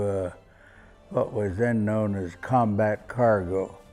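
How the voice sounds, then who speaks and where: Over music in the background, a man with an American accent speaks at a fairly low pitch. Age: 80s+. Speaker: war veteran. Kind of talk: interview answer.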